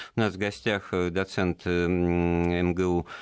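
A man's very deep, low pitch comes through over a quiet background. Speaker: radio host. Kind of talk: radio interview. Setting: studio.

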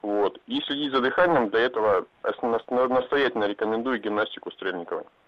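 Talking at a fairly quick pace, a man uses an ordinary speaking voice at a medium pitch with ordinary pitch variation. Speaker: caller. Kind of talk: call-in radio chat. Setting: phone call.

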